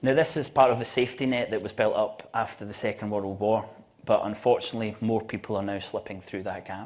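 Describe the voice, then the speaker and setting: The speaker has a strong Scottish accent. The pace is fairly quick. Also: man, medium pitch for a man, ordinary pitch variation. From Scotland, Glasgow. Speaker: event organiser and conference speaker. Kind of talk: conference talk. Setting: stage with audience.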